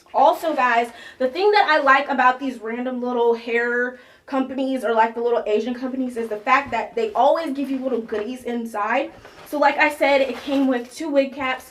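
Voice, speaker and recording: Noticeable background noise surrounds a woman whose voice is high in pitch. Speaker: beauty vlogger. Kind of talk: tutorial. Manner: fast; animated.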